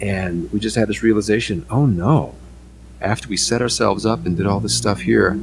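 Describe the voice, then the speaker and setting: Over music in the background, a man with an American accent speaks at a moderate pace. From Midwest US, northwest suburbs of Chicago. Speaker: voice actor. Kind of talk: interview. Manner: halting, many fillers.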